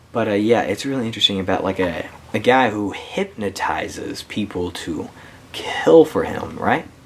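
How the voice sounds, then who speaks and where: Noticeable background noise under speech at a moderate tempo. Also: man. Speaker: YouTuber reviewing his movie collection. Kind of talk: casual collection review. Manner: halting, many fillers and restarts; got quiet at times.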